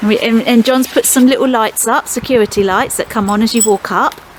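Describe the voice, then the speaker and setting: A woman speaks at a fairly quick pace with a fairly high pitch and ordinary pitch variation. Noticeable background noise is present. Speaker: pond-building vlogger. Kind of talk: casual chat. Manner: loud.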